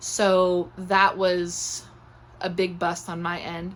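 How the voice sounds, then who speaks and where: A soft-spoken woman's voice at medium pitch. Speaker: gardening vlogger. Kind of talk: casual chat. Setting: indoors at home, in her room.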